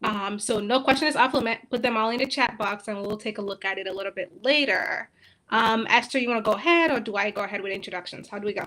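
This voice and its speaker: A woman with a fairly high, bright, sharp voice speaks at a very fast pace with ordinary pitch variation. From Nigeria, Akwa Ibom State. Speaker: university program coordinator. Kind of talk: livestream Q&A chat. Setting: livestream.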